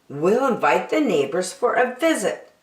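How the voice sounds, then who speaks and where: A woman puts on a raspy character voice, fairly high-pitched, at a moderate pace with a slight echo. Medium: read story. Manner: fretful.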